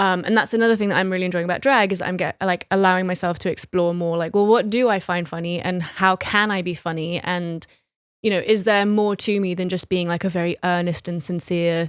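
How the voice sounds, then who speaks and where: A woman's medium-pitched voice with an American accent, fairly quick and fairly even in intonation, dry and close with no echo on a very clean recording with a silent background. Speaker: poet. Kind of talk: casual chat.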